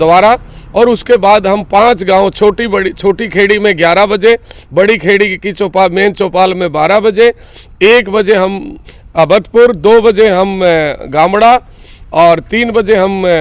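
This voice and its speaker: A man is speaking in a high voice. The rise and fall of his pitch is ordinary. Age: 60s. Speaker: local politician, retired paramilitary officer. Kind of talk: interview.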